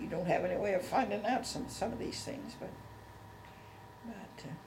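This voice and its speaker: Lively intonation and big swings in loudness come at a moderate pace, with audible room echo and noticeable background noise. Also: woman, medium pitch for a woman. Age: 80s+. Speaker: elderly interviewee, oral history. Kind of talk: oral history interview. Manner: halting.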